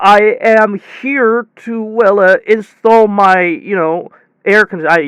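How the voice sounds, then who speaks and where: A put-on character voice mumbles along at a fairly slow pace. The pitch sits fairly high. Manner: mumbling, hesitant.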